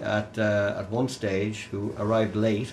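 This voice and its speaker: A fairly low-pitched man with a Dublin accent at a fairly slow pace, amid noticeable background noise and audible room echo. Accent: Dublin Irish. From Ireland, Dublin. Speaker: folk musician. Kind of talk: casual chat. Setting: studio.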